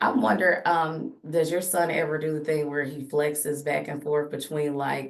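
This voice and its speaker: A woman talks at a moderate pace with hardly any pauses. Her pitch is very deep and low, and her intonation is fairly even. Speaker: podcast host; teacher. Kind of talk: casual chat. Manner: loud.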